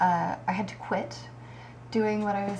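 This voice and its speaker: Amid noticeable background noise and audible room echo, a woman speaks with an American accent. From Kansas, US Midwest. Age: 30s. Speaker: aspiring bodybuilder, vlogger. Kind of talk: casual vlog monologue. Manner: hesitant, many fillers.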